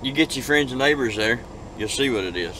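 Over light background noise, a man talks with ordinary pitch variation in a dry sound with no echo. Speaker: truck driver vlogger. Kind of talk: casual vlog chat. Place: car. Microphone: phone near.

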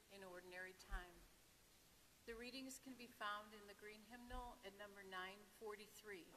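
A woman speaks at a moderate pace against light background noise. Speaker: lector or commentator at Mass. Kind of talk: liturgical announcements. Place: church.

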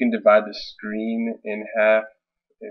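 Quiet background behind a male speaker. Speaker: tech reviewer. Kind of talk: casual screen-recording tutorial. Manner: hesitant, many fillers. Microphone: webcam.

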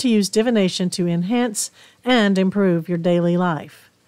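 The speaker has a Southern US accent. The intonation is lively. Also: woman. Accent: Southern US drawl. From East Tennessee, southern US. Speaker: podcast host, spiritual practitioner. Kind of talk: spiritual podcast talk. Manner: warm, hospitable.

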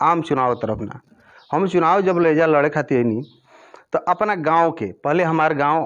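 A man's voice at a fairly slow pace, with ordinary pitch variation. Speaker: election candidate. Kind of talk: interview answer. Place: home room. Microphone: handheld.

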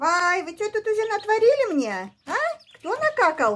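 A woman speaks at a very slow pace with a warm tone. Her pitch swings very widely. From Kyrgyzstan. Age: 60s. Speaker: village pensioner vlogger. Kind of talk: casual vlog talk while feeding ducklings. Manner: warm, cooing to animals. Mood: warm, affectionate. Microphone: phone near.

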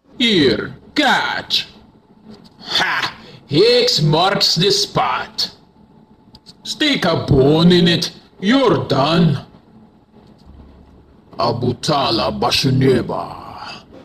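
Using a put-on character voice at a fairly low pitch, a woman speaks at a very slow pace with very wide pitch swings and long, frequent pauses. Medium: voice reel.

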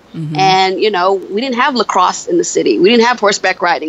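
Lively intonation from a woman with an American accent, noticeable background noise behind her. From upstate New York (Buffalo). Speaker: beauty consultant and author. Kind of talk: interview podcast. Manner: halting, many fillers.

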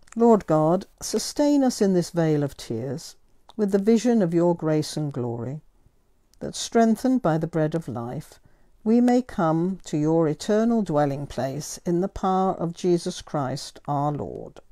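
A woman speaks at a fairly slow pace in a fairly low pitch with very wide pitch swings. Her tone is dark and mellow against a quiet background. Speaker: priest. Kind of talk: fervent prayer led by a priest, intercessions and petitions. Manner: earnest, devout and heartfelt.

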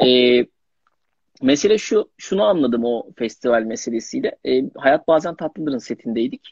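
A man at a fairly slow pace, lively intonation, dry sound with no echo. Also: quiet background. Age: young. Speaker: young actor. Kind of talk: casual interview. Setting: Instagram live video call. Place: home room.

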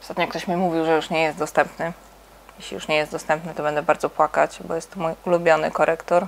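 Monotone, flat intonation comes from a woman at a very fast pace. Light background noise is present. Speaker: makeup channel host. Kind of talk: makeup tutorial chat. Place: home room. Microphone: lapel.

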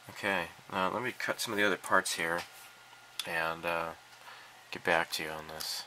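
Amid noticeable background noise, a man with a very deep, low voice talks at a moderate pace with fairly even intonation and long, frequent pauses. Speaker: hobbyist video maker. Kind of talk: casual build tutorial. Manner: halting, many filler words.

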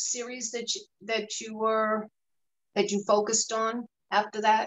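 At a very slow pace, a woman with a fairly high pitch speaks in a monotone, flat intonation. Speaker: moderator and photojournalist. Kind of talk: moderated panel discussion. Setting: video call.

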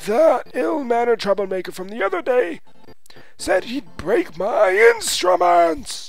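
The speaker uses a put-on character voice with a fairly high pitch at a moderate pace. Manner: indignant.

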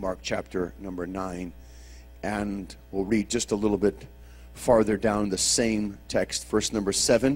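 Vocal fry runs through this man's speech. He talks fairly slowly at a fairly low pitch. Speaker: preacher. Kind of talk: sermon. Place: church. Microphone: handheld.

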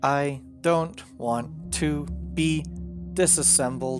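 A man puts on a character voice, speaking very slowly at a medium pitch. His pitch swings very widely over clear music in the background.

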